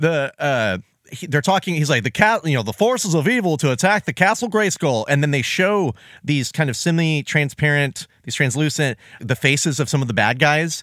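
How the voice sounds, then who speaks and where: The sound is dry and close with no echo, a very clean recording with a silent background, as a man with an unremarkable speaking voice talks at a moderate pace in a fairly high pitch with lively intonation. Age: 30s. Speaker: podcast co-host. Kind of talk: casual chat.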